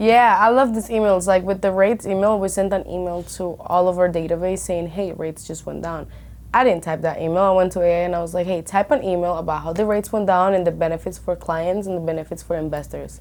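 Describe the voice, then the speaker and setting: A woman with a Spanish accent speaks at a very fast pace with hardly any pauses. Her voice is fairly low, with fairly even intonation. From Colombia. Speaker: real estate broker. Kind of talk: podcast interview.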